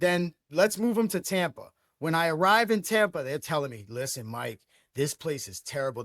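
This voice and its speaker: Speaking at a fairly quick pace in a New York accent, a man with a fairly high pitch comes through dry and close, with no echo. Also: very clean recording, silent background. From Brooklyn, New York. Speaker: sports franchise owner. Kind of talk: podcast interview. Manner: animated.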